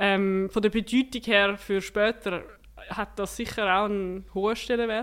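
A woman talks at a fairly slow pace in a monotone, flat intonation. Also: medium pitch for a woman, very clean recording, silent background. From Switzerland, canton of Zurich. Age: 20s. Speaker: para-cyclist and political science student. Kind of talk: interview.

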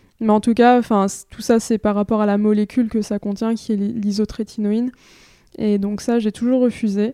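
In a very clean recording with a silent background and a dry, close sound free of echo, a woman speaks at a moderate pace in a flat monotone, her fairly high voice dark and mellow in tone. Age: 20s. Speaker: entrepreneur and author on acne. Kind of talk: personal testimony interview.

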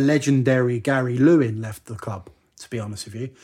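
A man speaks with an English accent at a moderate pace. His tone is dark and mellow. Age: 30s. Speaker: football podcast co-host. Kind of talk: casual chat.

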